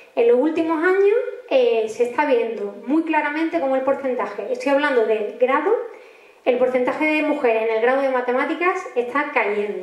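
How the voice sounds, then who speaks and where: A woman in an Andalusian accent speaks at a moderate pace with high pitch and lively intonation. Her loudness stays very even, and the room echo is audible. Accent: Andalusian (Málaga). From Málaga, Andalusia, Spain. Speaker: mathematics professor and astrophysicist. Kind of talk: public talk. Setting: community centre talk with audience.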